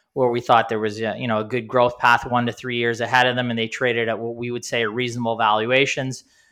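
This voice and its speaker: Very fast speech comes from a man at medium pitch with monotone, flat intonation. The background is quiet. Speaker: investment podcast host. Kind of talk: casual business discussion.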